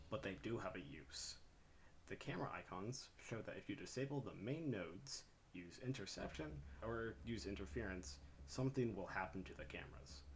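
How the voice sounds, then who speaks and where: A man speaks fairly quickly in a fairly low, somewhat breathy voice with very wide pitch swings. Room echo is audible. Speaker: gaming YouTuber. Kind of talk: gameplay explainer tutorial. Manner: quiet.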